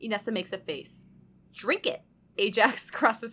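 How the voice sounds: Read in a natural reading voice, the lines carry fairly even intonation.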